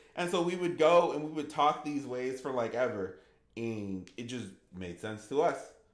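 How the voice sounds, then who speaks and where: With audible room echo, the voice moves at a moderate pace with lively intonation. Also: man, medium pitch for a man. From US, Haitian refugee family. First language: Haitian Creole. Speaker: gaming streamer. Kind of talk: live stream Q&A, casual chat.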